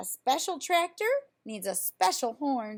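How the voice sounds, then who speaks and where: In a high pitch at a moderate pace, a woman puts on a character voice full of very wide pitch swings. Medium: read story. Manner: folksy.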